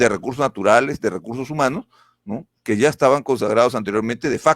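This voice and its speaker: With an ordinary speaking voice at medium pitch, a man talks at a fairly quick pace with ordinary pitch variation, in a very clean recording with a silent background and a dry, close sound with no echo. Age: 60s. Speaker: political candidate. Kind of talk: political interview.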